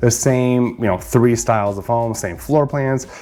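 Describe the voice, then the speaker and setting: Music plays in the background as a man speaks at a moderate pace with lively intonation. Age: 40s. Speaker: real estate agent. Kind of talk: informational vlog. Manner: casual, conversational with fillers.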